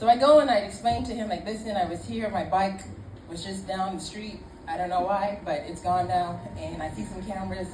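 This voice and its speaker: Noticeable background noise runs under the voice. The delivery is fairly quick, and the pitch shifts in an ordinary way. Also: woman. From Ireland. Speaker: storyteller. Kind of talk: live comedic storytelling. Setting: live pub audience. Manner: casual, conversational.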